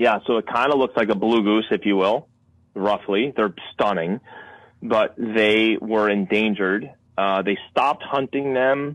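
A man with a plain, everyday voice, fairly low in pitch, with ordinary pitch variation and a fairly slow pace. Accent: American. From Connecticut. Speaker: wildlife filmmaker and hunter. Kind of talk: casual interview.

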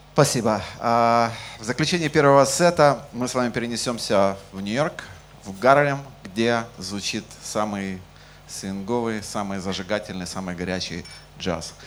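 Speaking at a fairly slow pace with lively intonation, a man with a medium-pitched voice is heard with audible room echo. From Ukraine. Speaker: jazz bassist and bandleader. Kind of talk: concert stage announcements. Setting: stage with audience in jazz club.

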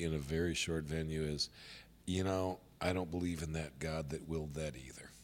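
This very clean recording with a silent background has a man with an American accent speaking in a very deep, low voice with monotone, flat intonation. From US Midwest, Indiana. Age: 60s. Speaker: pastor. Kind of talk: casual chat. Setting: studio.

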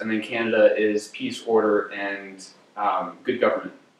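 A man talks at a medium pitch over noticeable background noise. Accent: American. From New Jersey, US. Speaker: graduate student giving a lecture. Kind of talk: lecture. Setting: lecture hall with audience.

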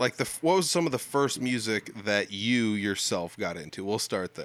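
Medium-tempo delivery in an unremarkable speaking voice, with an American accent. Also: man. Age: 30s. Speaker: podcast host. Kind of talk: casual interview chat. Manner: casual, conversational.

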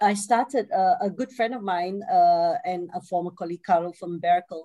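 At a moderate pace, a woman speaks in a medium pitch with a dark, mellow tone. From Singapore. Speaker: author and systems innovation expert. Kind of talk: casual interview conversation.

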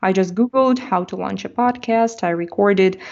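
With a Russian accent, a woman speaks at a medium pitch. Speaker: language teacher and YouTuber. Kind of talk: interview.

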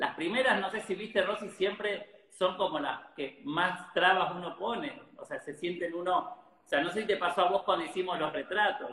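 Over noticeable background noise, a man's raised, projected voice comes at a high pitch and a moderate pace, with ordinary pitch variation and hardly any pauses. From Argentina, Rosario. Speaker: photographer. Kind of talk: interview.

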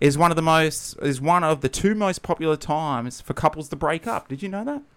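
A man with an Australian accent speaks at a fairly quick pace in a fairly high pitch, his intonation lively. The recording is very clean, with a silent background. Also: big swings in loudness. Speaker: podcast co-host. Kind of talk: casual chat. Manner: animated.

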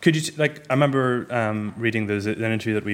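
A man speaks with an Irish accent. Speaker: books journalist hosting event. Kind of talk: moderated book event interview. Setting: stage with audience.

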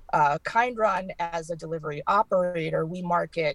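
Heard with a dry, close sound and no echo, a normal speaking voice with an American accent keeps fairly even intonation. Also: woman. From Massachusetts. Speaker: cannabis delivery business partner. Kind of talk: interview.

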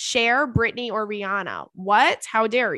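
A woman speaks with a bright, sharp tone and a fairly high pitch against a quiet background. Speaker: podcast host. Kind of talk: casual chat. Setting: studio with headphones. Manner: animated, can get loud.

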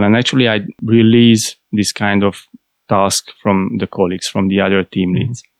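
A man with a fairly low voice speaks in a Hungarian accent. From Hungary. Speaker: IT process analyst. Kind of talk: interview.

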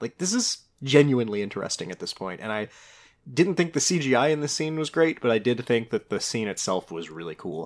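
Over a silent background in a very clean recording, a man speaks at a moderate pace in a normal speaking voice of medium pitch, with lively intonation. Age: young. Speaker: podcast co-host. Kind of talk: casual chat.

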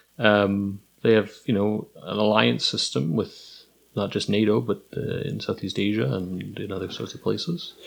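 A man speaks with a normal speaking voice at a fairly low pitch. His intonation is lively and his pace moderate. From Kingston, Ontario. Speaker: history professor. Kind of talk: casual chat. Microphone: too far from mic.

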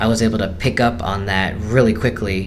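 Amid noticeable background noise and audible room echo, a man speaks at a moderate pace and fairly low pitch. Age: 20s. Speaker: blind musician and team member. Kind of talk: interview. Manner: halting.

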